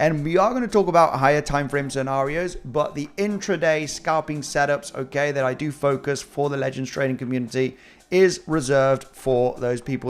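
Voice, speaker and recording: Speaking at a fairly quick pace with hardly any pauses, a man has a slight British accent. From Spain. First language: Spanish. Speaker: crypto trading analyst. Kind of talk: live-stream market analysis. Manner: animated.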